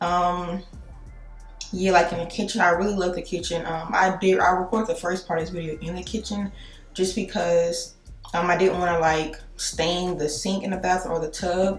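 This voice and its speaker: Monotone, flat delivery at a moderate pace, with audible room echo and noticeable background noise. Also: woman, fairly low pitch for a woman. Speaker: beauty vlogger. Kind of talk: casual vlog talk. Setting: home bathroom. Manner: hesitant, many fillers.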